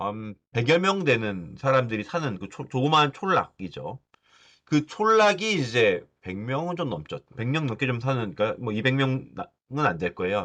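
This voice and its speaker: A man with a medium-pitched voice and a bright, sharp tone talks at a moderate pace. His pitch swings very widely over a quiet background. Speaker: university lecturer. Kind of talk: lecture. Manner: casual, with many fillers.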